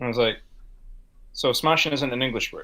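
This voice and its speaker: This is a man speaking. He has a Gaelic-speaking region accent. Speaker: podcast co-host. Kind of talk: casual chat.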